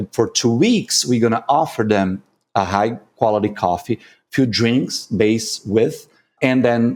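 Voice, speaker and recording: A Brazilian Portuguese accent in a very clean recording with a silent background. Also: man. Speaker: coffee competition judge and consultant. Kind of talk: podcast interview.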